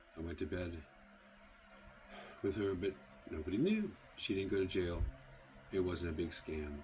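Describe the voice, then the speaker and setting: With an American accent, a man speaks in a very deep, low, somewhat breathy voice, his pitch varying in an ordinary way. His pace is moderate, with long, frequent pauses. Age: 70s. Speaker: architectural salvage dealer. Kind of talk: live stream monologue. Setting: live stream.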